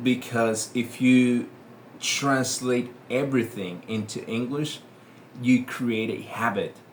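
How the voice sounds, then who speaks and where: A man with a Spanish accent at medium pitch and a very slow pace. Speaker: English teacher. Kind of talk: tutorial. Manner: hesitant, with many fillers.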